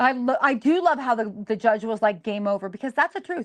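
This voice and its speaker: Her pitch swinging very widely, a woman talks at a fairly quick pace in a dry, close sound with no echo. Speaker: podcast co-host. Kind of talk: casual chat. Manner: fast.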